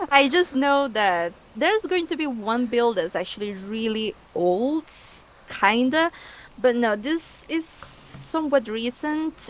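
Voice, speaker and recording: A woman with a Spanish accent speaks at a very slow pace in a high voice that makes very wide pitch swings. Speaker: guest builder. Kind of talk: casual chat. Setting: livestream.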